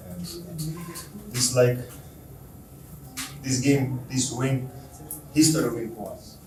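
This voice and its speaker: A man with a non-native accent at a very slow pace, medium in pitch, with audible room echo and noticeable background noise. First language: not English. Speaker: footballer. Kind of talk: press conference. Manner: halting.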